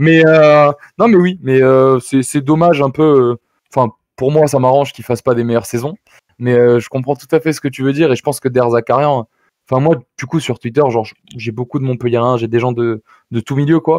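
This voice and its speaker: With a dry, close sound and no echo, a man talks at a fairly quick pace in fairly even intonation, leaving long, frequent pauses. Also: medium pitch for a man. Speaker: football fan pundit guest. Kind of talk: casual football talk show chat. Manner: fast at times; hesitant, many fillers.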